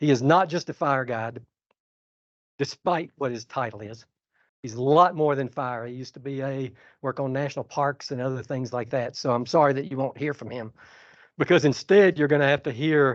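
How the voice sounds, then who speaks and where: A man with a Georgia accent speaks at a moderate pace in a medium pitch, with ordinary pitch variation and big swings in loudness. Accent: Georgia Southern US. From US South. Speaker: conservation scientist. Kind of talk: keynote speech. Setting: stage with audience. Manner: calm.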